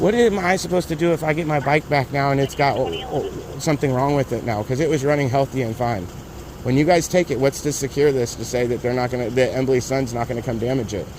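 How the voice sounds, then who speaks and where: Over noticeable background noise, a man talks at a very fast pace. His pitch is medium, with ordinary variation. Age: 30s. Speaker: motorcyclist filming a police stop. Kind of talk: heated argument. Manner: loud.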